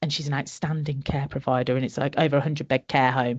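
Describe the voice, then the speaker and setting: This woman speaks with a Birmingham accent. The background is quiet. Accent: Birmingham twang. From Birmingham area, English Midlands. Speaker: conference speaker, social care sustainability consultant. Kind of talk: interview. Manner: animated.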